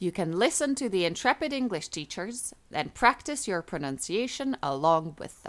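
On a very clean recording with a silent background, a woman at medium pitch speaks at a moderate pace with hardly any pauses, very wide pitch swings and big swings in loudness. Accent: slight non-native. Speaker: English teacher. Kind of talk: scripted narration. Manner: clear, measured.

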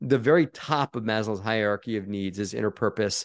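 A plain, everyday voice speaks at a moderate pace against a quiet background. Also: man. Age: 40s. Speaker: real estate investor. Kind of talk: interview.

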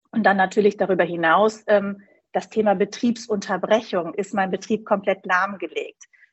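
A woman with a somewhat breathy, medium-pitched voice talks at a moderate pace in a monotone, flat intonation. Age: 40s. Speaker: insurance broker. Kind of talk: interview.

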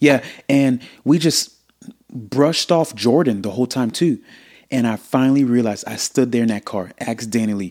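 On a very clean recording with a silent background, a man with a medium pitch speaks in an animated tone at a moderate pace, with ordinary pitch variation. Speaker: podcast host. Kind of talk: casual chat. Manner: animated, talkative.

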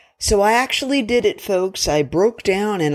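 Recorded very cleanly against a silent background, a woman with an American accent sounds animated, using lively intonation. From US South. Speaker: podcast host. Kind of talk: casual monologue.

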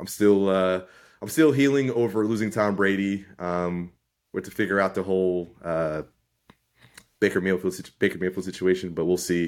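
In a very clean recording with a silent background, a man with a very deep, low voice talks at a fairly quick pace with fairly even intonation. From US Northeast. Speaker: high school football coach, podcast co-host. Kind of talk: casual chat.

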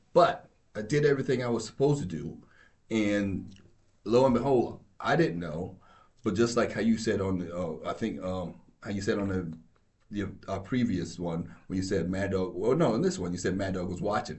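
A man's somewhat breathy voice at a moderate pace, ordinary pitch variation, and audible room echo. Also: fairly low pitch for a man. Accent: American. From New York. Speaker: law enforcement officer. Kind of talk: casual chat.

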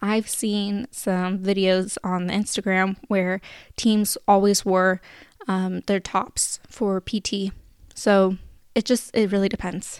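A woman with a West Coast accent speaks at a very slow pace and a medium pitch. Her intonation is monotone and flat, and the recording is very clean with a silent background. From Sacramento, California. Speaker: podcast host, former service volunteer. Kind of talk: solo podcast Q&A. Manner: casual, filler-heavy.

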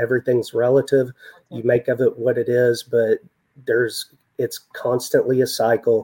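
The man's medium-pitched voice comes through with a dry, close sound and no echo. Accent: West Texas. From West Texas. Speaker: senior loan officer. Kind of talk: interview.

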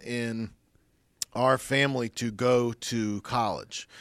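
A man with a Midwestern American accent is heard in a dry, close recording with no echo. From US Midwest, Dayton, Ohio. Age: 40s. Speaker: former radio station manager. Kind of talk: casual interview.

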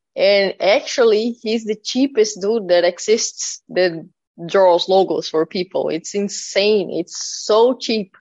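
Speaking very slowly in a Portuguese accent, a woman uses a fairly high pitch with ordinary pitch variation. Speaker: death metal drummer. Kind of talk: interview.

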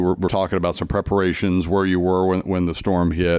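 The speaker is a man. His voice sits very deep and low. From US Midwest, Kansas. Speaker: podcast host, magazine editor. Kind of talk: interview. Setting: in person, clubhouse.

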